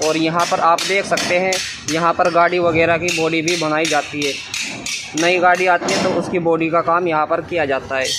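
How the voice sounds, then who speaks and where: Background music is present. The talking goes at a moderate rate. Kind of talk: casual vlog commentary. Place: workshop. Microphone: phone near.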